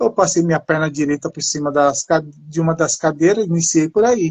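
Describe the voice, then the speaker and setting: The recording of this man sounds dry and close, with no echo, and his pitch varies in an ordinary way. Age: 50s. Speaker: person living with multiple sclerosis. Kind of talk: casual chat.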